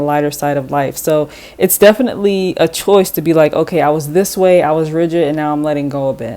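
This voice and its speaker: A woman talks at a very fast pace with hardly any pauses, her pitch very deep and low with ordinary variation. Her tone is dark and mellow. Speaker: tarot reader. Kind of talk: tarot reading. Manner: halting, self-correcting; casual, conversational.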